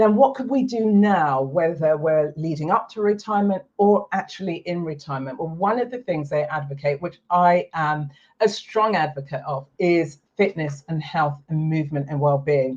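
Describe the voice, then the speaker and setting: A woman's fairly low, somewhat breathy voice at a moderate pace, lively in intonation and with hardly any pauses. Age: 60s. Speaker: retirement lifestyle coach and video host. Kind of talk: talking-head explainer video.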